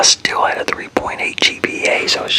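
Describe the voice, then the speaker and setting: Noticeable background noise is present throughout. A man whispers at a moderate pace. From Texas, Fort Worth. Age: 40s. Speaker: ASMR creator. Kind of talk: casual Q&A chat. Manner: whispering; rambling, self-correcting.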